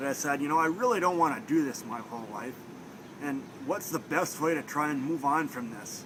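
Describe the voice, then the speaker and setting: In a strong Minnesota accent, a man talks at a fairly quick pace and fairly high pitch with lively intonation, amid audible room echo and noticeable background noise. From Minnesota, Thief River Falls. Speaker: student at blindness training center. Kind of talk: interview. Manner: casual, with many fillers.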